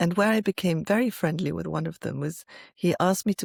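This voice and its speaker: With a fairly low pitch and vocal fry, a woman talks at a fairly quick pace with lively intonation, recorded very cleanly over a silent background with a dry, close sound and no echo. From France and England. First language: French. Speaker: IP lawyer. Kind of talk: interview.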